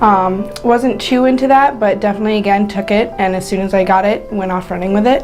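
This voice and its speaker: Over background music and audible room echo, a woman with an American accent and a medium pitch speaks at a fairly quick pace with hardly any pauses. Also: ordinary pitch variation. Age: 20s. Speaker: recovering addict in rehab. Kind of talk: personal testimony. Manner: halting, many fillers.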